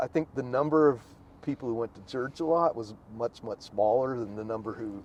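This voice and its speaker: A man with a normal speaking voice talks at a fairly quick pace in a medium pitch. His pitch varies in an ordinary way, while his loudness swings widely. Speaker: Marine veteran, sniper instructor. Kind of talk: casual interview chat.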